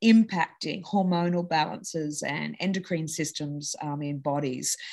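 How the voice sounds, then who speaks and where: With an Australian accent, a woman talks at a moderate pace in a fairly low pitch, her pitch varying an ordinary amount. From Australia (Sydney). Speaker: entrepreneur, company co-founder. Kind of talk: interview conversation.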